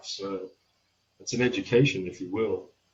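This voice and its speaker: A man with a somewhat breathy voice talks at a medium pitch and a moderate pace. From Australia. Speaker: welder and metal fabricator. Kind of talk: podcast interview.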